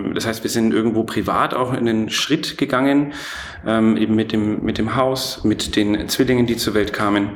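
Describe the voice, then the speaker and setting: Noticeable background noise sits behind a voice with a slight Franconian accent. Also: man, medium pitch for a man, moderate pace. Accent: faint Franconian. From Franconia, Germany (Erlangen). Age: 30s. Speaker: entrepreneur. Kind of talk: interview. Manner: many filler sounds (äh, ähm); energetic.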